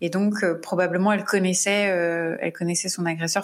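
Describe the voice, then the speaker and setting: Flat, monotone intonation marks the delivery. Everything sits on a very clean recording with a silent background. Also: woman. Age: 30s. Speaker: true crime podcast host. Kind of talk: casual chat; scripted narration.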